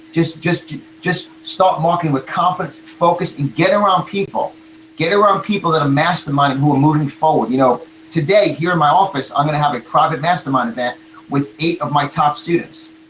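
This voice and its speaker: A man with an American accent talks at a fairly quick pace with ordinary pitch variation. Noticeable background noise runs under his voice. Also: fairly high pitch for a man. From New York. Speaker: motivational speaker and marketing coach. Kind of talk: motivational talk in interview. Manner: animated.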